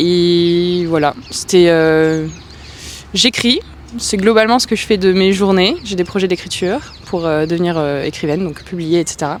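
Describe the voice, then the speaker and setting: A woman with a fairly low pitch talks at a fairly slow pace. Noticeable background noise runs behind her. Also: ordinary pitch variation. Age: 30s. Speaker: aspiring writer, interviewee. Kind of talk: interview testimony. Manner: hesitant, many fillers.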